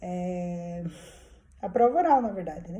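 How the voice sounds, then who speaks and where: A very slow woman's voice, somewhat breathy with a dark, mellow tone, amid audible room echo. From southern Brazil, Curitiba. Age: 50s. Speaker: vlogger. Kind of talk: personal vlog, casual monologue. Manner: informal, hesitant with fillers.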